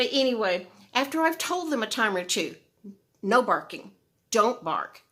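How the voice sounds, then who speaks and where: A loud, fairly high-pitched woman's voice at a fairly slow pace, with very wide pitch swings. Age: old. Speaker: video blogger. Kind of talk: casual chat. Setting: outdoors.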